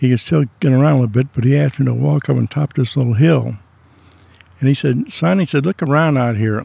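In a Midwestern American accent, a man speaks at a moderate pace with a medium pitch and ordinary pitch variation, recorded dry and close with no echo. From US Midwest. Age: 70s. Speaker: retired man sharing his life and faith story. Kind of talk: casual interview. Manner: rambling storyteller.

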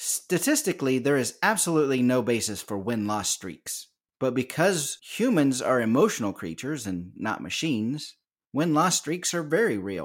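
Over a silent background in a very clean recording, a man speaks at a moderate pace with very wide pitch swings. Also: medium pitch for a man. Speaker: poker podcast host. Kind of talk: casual chat. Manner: laughs often.

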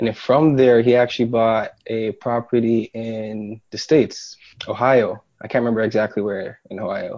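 A man's medium-pitched, monotone delivery at a moderate pace, with hardly any pauses and big swings in loudness. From Jamaica. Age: 20s. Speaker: real estate investor and contractor. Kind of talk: interview.

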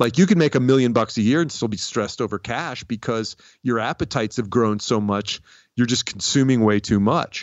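With an American accent, a man speaks in an unremarkable speaking voice at a medium pitch, with ordinary pitch variation and a fairly quick pace. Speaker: comedian and podcaster. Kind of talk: interview. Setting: video call.

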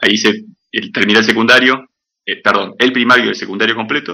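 The man's voice sits at a medium pitch. Its tone is bright and sharp. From Patagonia, Argentina. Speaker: comic artist and animator. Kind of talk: casual interview. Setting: studio, remote call.

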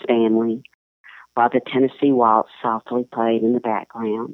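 The voice has a Southern US accent. Its pace is moderate. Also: woman. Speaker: columnist and writer. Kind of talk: interview with story reading.

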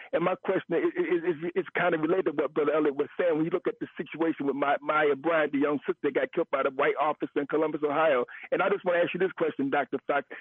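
Speaking at a very fast pace with hardly any pauses, a man uses a fairly high-pitched voice. His loudness stays very even and his intonation fairly even. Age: 50s. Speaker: caller. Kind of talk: call-in radio talk.

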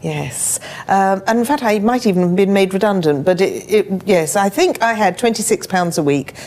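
A woman at medium pitch and moderate pace, ordinary pitch variation, noticeable background noise behind her. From London (Chigwell, Essex area). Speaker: entrepreneur and former coach. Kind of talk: interview.

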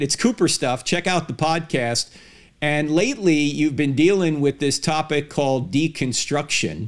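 A normal speaking voice from a man, moderate in pace, fairly high in pitch, with ordinary pitch variation. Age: 60s. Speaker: podcast host, apologist. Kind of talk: interview; monologue.

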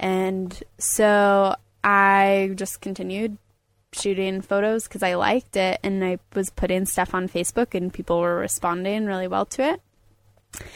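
A woman with an American accent speaks in a normal speaking voice at medium pitch, with fairly even intonation and a fairly slow pace, on a very clean recording with a silent background. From Colorado, US. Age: 20s. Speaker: photographer and climber. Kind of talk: casual interview. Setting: mobile recording studio.

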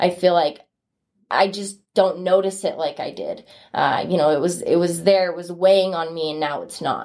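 A woman's fairly low-pitched voice, an ordinary speaking voice, at a moderate pace with fairly even intonation and big swings in loudness. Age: 20s. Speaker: former vaper, college student. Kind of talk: interview testimony.

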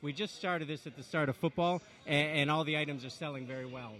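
A man rushes through his words at a very fast pace, pitched fairly high. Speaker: restaurant and bowling venue owner. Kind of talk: interview chat.

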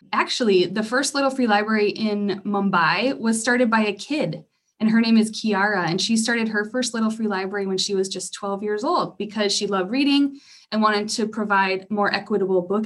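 A woman speaks at a medium pitch. She has an unremarkable speaking voice. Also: ordinary pitch variation, fairly quick pace. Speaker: library program director. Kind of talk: interview answers, explaining. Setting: Zoom call. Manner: warm, explanatory, conversational.

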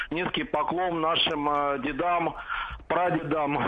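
Noticeable background noise sits behind a man speaking at a very slow pace. His pitch is fairly high and his intonation fairly even. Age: 50s. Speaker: caller. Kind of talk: phone-in call.

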